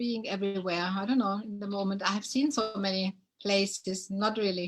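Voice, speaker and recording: Speaking at a moderate pace, a woman with a German accent has a fairly high, somewhat breathy voice. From Germany. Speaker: dancer. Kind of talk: casual chat. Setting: live video stream. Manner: hesitant.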